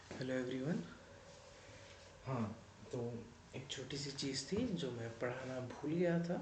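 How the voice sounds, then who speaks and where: A medium-pitched male voice with ordinary pitch variation and long, frequent pauses, amid audible room echo and noticeable background noise. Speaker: teacher. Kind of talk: lecture. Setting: recorded at night in quiet. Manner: quieter than usual.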